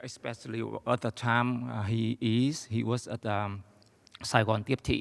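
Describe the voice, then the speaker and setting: In a very clean recording with a silent background and a dry, close sound without echo, a man speaks fairly slowly at a medium pitch in a monotone, flat intonation. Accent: Vietnamese. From Vietnam. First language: Vietnamese. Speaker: audience member, academic and former economic advisor. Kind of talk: audience question at lecture Q&A. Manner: halting, many hesitations.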